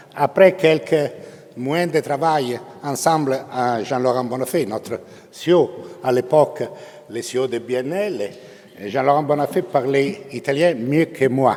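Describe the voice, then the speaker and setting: Over noticeable background noise, a man with a fairly high pitch talks at a very slow pace, leaving long, frequent pauses, with ordinary pitch variation. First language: Italian (speaking French). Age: 70s. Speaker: bank chairman. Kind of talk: formal speech. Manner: halting.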